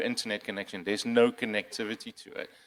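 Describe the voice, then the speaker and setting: In a very clean recording with a silent background, a man with a non-native accent talks at a very fast pace, his medium pitch held to a monotone, flat intonation. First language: not English. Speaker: cybersecurity panelist. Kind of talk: conference panel discussion. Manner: halting, many fillers and repeats.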